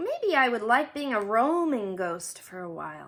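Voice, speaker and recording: Putting on a character voice, a woman speaks at a fairly high pitch and moderate pace with very wide pitch swings. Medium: read story. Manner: polite, hesitant.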